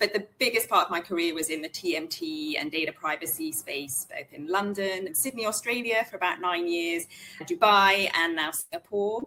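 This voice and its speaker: A woman with a British accent talks at a moderate pace and medium pitch. Her intonation is lively, with hardly any pauses. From UK. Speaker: in-house lawyer. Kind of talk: interview conversation.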